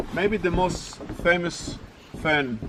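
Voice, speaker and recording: A man's lively, up-and-down voice over noticeable background noise. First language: not English. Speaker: tour guide. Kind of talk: casual storytelling; guided tour commentary.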